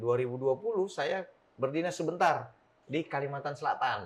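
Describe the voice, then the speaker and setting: A man speaks with a Sulawesi accent at a fairly quick pace. His pitch sits in the medium range. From South Sulawesi, Bugis, Makassar. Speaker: district police chief. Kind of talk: casual interview.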